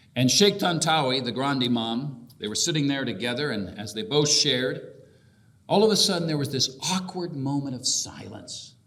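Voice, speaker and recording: Lively intonation from a man with a fairly high pitch, noticeable background noise behind him. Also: moderate pace. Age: 50s. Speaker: bishop. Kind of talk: keynote speech. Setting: convention hall with audience.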